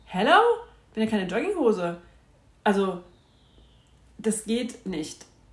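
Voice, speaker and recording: The delivery is animated, with lively intonation, at a fairly slow pace broken by long, frequent pauses. Noticeable background noise is present. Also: woman, fairly high pitch for a woman. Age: 40s. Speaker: podcast host. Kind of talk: casual monologue.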